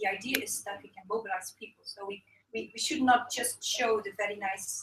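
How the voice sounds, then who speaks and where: A woman talks at a medium pitch and ordinary pitch variation while music plays in the background. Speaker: fair trade campaigner. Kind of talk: conference workshop presentation. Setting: conference workshop. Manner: fast.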